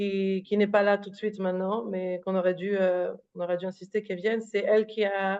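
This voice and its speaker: Monotone and flat, a woman talks at a fairly quick pace. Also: medium pitch for a woman. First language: not French; thinks in Hebrew or English (speaking French). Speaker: author. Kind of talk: interview. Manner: halting, many fillers and repetitions.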